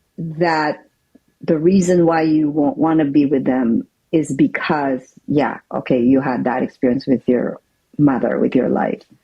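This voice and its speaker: A woman speaks with a very deep, low pitch and ordinary pitch variation. Her pace is fairly slow and her loudness very even. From Philippines. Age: 60s. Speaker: interview guest sharing life story. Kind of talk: testimony.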